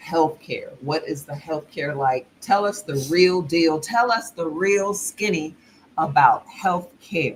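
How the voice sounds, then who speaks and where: Pitch varies ordinarily. Delivery is very slow. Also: woman, fairly low pitch for a woman. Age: middle-aged. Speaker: expat vlogger. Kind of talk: casual livestream chat. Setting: live stream.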